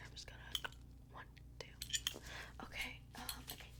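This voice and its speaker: Noticeable background noise accompanies a woman who is whispering. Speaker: ASMR creator playing a medical examiner. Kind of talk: ASMR medical roleplay, fast-paced exam. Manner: fast, upbeat, instructional.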